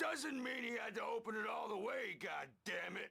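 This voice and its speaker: Shouting in a put-on character voice, a man sounds raspy at an extremely high pitch, keeping a moderate pace. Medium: video game. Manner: brash, slangy.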